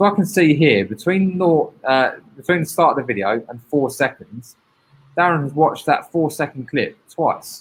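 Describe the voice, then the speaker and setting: Man with a British accent, fairly high pitch and lively intonation. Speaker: teacher presenting a training session. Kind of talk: online training webinar. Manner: fast.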